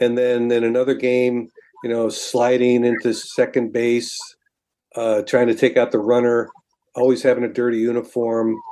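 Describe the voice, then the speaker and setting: The speaker has an American accent and talks at a moderate pace with monotone, flat intonation. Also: man, medium pitch for a man. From Binghamton, New York. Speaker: sports writer. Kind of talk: interview.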